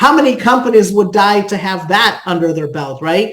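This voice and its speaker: A woman speaks with ordinary pitch variation. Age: 50s. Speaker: product presenter. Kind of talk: sales pitch. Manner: animated.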